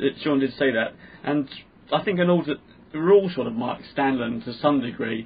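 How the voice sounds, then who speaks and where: Over noticeable background noise, a man with a London accent speaks at a fairly high pitch with ordinary pitch variation. He leaves long, frequent pauses. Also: moderate pace. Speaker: podcast host and comedian. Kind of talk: casual chat.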